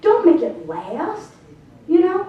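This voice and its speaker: Against noticeable background noise and audible room echo, a woman talks in an animated tone. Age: 60s. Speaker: health speaker. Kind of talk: talk to an audience.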